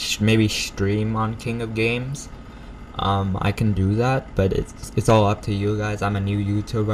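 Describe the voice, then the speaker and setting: A man's fairly low voice at a moderate pace with fairly even intonation, against noticeable background noise. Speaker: gaming YouTuber. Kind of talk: gameplay commentary. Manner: halting.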